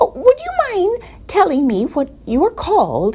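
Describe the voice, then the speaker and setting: A squeaky, female-sounding put-on character voice at an extremely high pitch and a moderate pace. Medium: read story. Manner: bright, polite.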